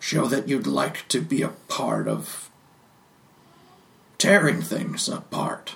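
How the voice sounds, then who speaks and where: A raspy put-on character voice from a man, very slow in pace, with long, frequent pauses. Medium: actual play. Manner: dry, laconic.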